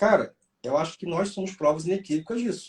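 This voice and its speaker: A man talks at a fairly quick pace. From Rio de Janeiro, Brazil. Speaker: police chief and exam mentor. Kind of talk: interview chat.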